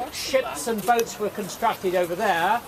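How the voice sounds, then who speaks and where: A high-pitched man at a moderate pace with ordinary pitch variation, over noticeable background noise. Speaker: town crier. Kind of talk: guided tour talk explaining local history.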